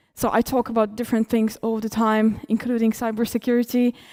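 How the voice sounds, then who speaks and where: At a moderate pace, a woman with a Polish accent speaks at a fairly high pitch in a dark, mellow tone, the sound dry and close with no echo. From Poland. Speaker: cybersecurity conference speaker. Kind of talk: conference talk.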